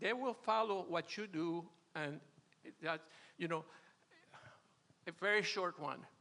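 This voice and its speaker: A man's high, bright, sharp voice at a fairly slow pace, with long, frequent pauses and ordinary pitch variation. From Venezuela. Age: 80s+. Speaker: retired churchgoer sharing marriage advice. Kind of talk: testimony. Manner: halting.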